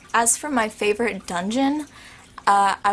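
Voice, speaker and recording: Over noticeable background noise, a woman speaks at a fairly slow pace. Her pitch is fairly high, with ordinary variation. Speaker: YouTuber answering viewer questions. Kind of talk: casual Q&A vlog. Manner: animated.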